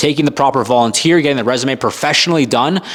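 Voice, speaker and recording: Over noticeable background noise, a man speaks in a Canadian accent. His fairly high voice sounds energetic, with ordinary pitch variation. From Canada. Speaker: firefighter career coach. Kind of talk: Q&A monologue to camera. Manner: casual, energetic.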